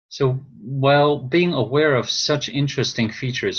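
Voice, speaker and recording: A man with a non-native accent. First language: not English. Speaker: course instructor. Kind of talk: online class lecture. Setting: video call. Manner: halting, repeats words.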